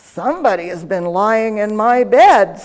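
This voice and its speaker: Putting on a gruff character voice, a woman speaks at a moderate pace and a fairly high pitch. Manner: indignant.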